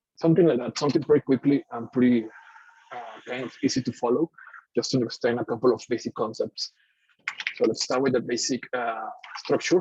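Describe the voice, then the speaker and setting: With a Mexican accent, the speaker moves at a fairly quick pace broken by long, frequent pauses, with fairly even intonation and a dry, close sound with no echo. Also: man, medium pitch for a man. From Mexico. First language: Spanish. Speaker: software engineer. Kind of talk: tech meetup talk with live coding. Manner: hesitant, with many fillers.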